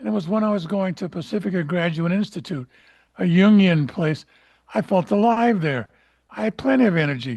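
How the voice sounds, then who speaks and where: A man talks at a moderate pace and a high pitch. His intonation is lively. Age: 70s. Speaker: semi-retired lawyer and analyst trainee. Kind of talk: audience Q&A comment. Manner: halting, many fillers.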